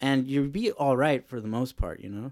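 A man with an unremarkable speaking voice, fairly high pitch and ordinary pitch variation, at a moderate pace, in a very clean recording with a silent background. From Los Angeles, Mexican-American. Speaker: podcast host, bike mechanic. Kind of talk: casual chat. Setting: studio.

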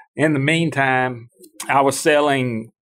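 A man speaks with a Mississippi accent. His pace is fairly slow and his intonation fairly even. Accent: Southern US (Mississippi). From US South, Starkville, Mississippi. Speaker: farm and land auction consultant. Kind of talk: interview.

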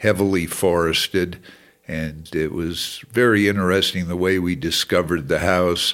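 Delivery is fairly slow, with fairly even intonation. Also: man. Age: 80s+. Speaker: retired businessman and big-game hunter. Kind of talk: interview. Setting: at his home. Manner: halting with many fillers.

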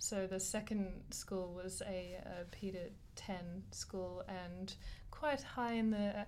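A woman with an Australian accent speaks at a medium pitch and a very slow pace. Her intonation is fairly even, and the room echo is audible. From Australia, Wollongong. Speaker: teaching student. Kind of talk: casual chat.

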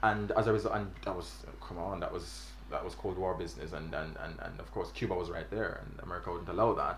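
Very fast male speech, noticeable background noise, audible room echo. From Jamaica. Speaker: graduate student podcast co-host. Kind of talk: casual discussion.

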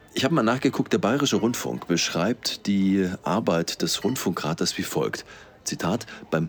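The voice swings very widely in pitch, with noticeable noise in the background. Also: man. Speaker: podcast host. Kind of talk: interview. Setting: café in a train station.

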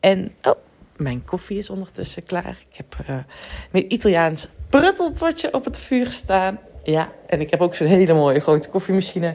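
Her voice marked by vocal fry, a woman at medium pitch speaks at a moderate pace with lively intonation and big swings in loudness. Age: 30s. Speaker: podcast host and business coach. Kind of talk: solo podcast monologue. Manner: animated.

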